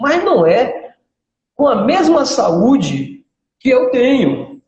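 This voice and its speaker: Speaking at a very slow pace, a man uses an extremely high pitch with very wide swings. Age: 60s. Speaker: physical education professional and karate instructor. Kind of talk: casual interview chat.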